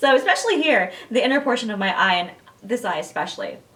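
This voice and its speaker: A woman speaks with very wide pitch swings. Noticeable background noise runs behind her. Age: 40s. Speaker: beauty blogger. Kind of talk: product review vlog. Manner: casual, chatty with fillers.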